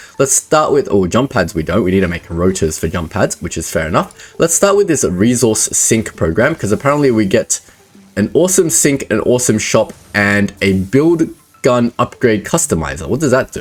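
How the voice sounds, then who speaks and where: Speaking with an Australian accent, a man at medium pitch makes very wide pitch swings. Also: moderate pace. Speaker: gaming YouTuber. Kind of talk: gameplay commentary. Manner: casual, thinking aloud.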